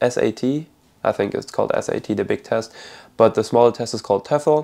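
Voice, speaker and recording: A man speaks with a slight German accent. His pace is moderate. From Germany (Berlin). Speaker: college soccer player. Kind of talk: personal story vlog.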